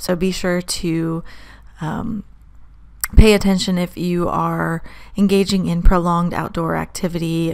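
The woman speaks at a fairly low pitch in a monotone, flat intonation. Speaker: weather forecaster. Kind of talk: weather briefing. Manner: formal, steady; occasional um/uh hesitations.

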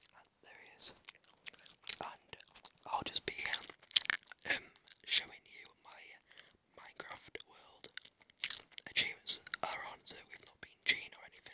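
The speaker whispers at a fairly slow pace, with long pauses coming often. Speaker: ASMR gamer. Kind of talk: ASMR gaming commentary. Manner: whispered. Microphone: studio mic.

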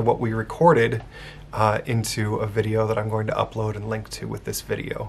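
A man speaks at a moderate pace, his voice somewhat breathy. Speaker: Unitarian minister. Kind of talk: casual talk to camera, church video update. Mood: warm, upbeat. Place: office. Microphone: phone near.

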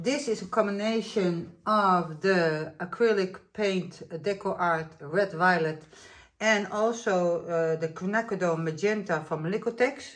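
Delivered at a fairly slow pace in a Dutch accent, the speech shows ordinary pitch variation. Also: woman, medium pitch for a woman. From Netherlands. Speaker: acrylic pour artist. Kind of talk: tutorial. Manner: casual, hesitant.

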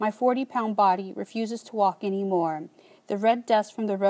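The speaker reads aloud in a plain manner. Intonation holds fairly level throughout.

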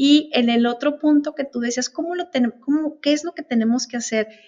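A woman is speaking. The background is quiet. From northern Mexico, Chihuahua border; northern Mexico. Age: 50s. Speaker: customs broker; guest. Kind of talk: interview. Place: meeting room. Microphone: video call.

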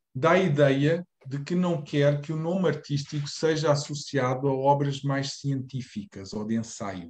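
This man's pitch is fairly high, with ordinary variation. He talks at a fairly slow pace and sounds somewhat breathy. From Portugal. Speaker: reading group moderator; presenter. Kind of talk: moderated discussion; lecture. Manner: halting. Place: home room. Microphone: video call.

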